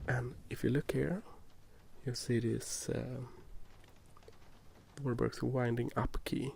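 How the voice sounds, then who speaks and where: A soft-spoken man's voice with a Swedish accent and vocal fry, very slow in pace, with long, frequent pauses, very even loudness and fairly even intonation. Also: medium pitch for a man. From Sweden. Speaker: ASMR youtuber. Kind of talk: gameplay commentary. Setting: recorded binaural, ear to ear. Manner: halting.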